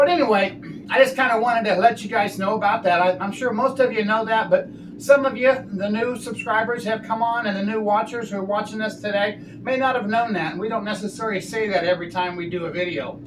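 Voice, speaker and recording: A man speaks at a very fast pace with a high pitch. There is noticeable background noise. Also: ordinary pitch variation. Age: 60s. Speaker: RV travel vlogger and ICU travel nurse. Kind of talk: product tutorial. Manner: animated.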